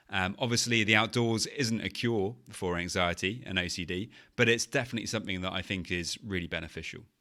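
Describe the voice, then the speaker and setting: Speaking with a British accent at a fairly quick pace with hardly any pauses, the voice has a bright, sharp tone and ordinary pitch variation. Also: man. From England. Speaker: podcast host, anxiety coach. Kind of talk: podcast monologue. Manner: conversational, some filler words.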